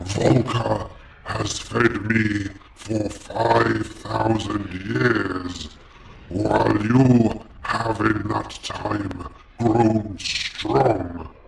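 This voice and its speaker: A man's menacing put-on character voice, fairly low in pitch, at a very slow pace. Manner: menacing, commanding.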